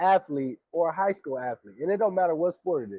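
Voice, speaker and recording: A man with an American accent, high pitch, a dark, mellow tone and ordinary pitch variation, in a dry, close sound with no echo over a quiet background. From US West Coast, Pasadena, California. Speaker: podcast co-host. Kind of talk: casual chat.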